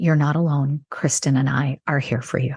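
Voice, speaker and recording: A woman with a very deep, low pitch speaks at a moderate pace, somewhat breathy and with a dark, mellow tone. The sound is dry and close, without echo. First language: not English (English is third language). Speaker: neurologist and author. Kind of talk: podcast interview.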